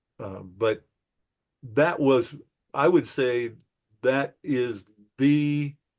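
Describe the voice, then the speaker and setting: At a very slow pace, a man speaks with a fairly high pitch. He leaves long, frequent pauses. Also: ordinary pitch variation. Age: 70s. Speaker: writer and producer. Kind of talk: interview. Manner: halting.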